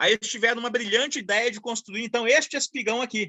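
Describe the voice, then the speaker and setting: Fairly quick in pace, a man talks in a high voice. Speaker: engineering professor giving a lecture. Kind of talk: online lecture. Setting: video call from a rural place. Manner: fast; halting, repeats words.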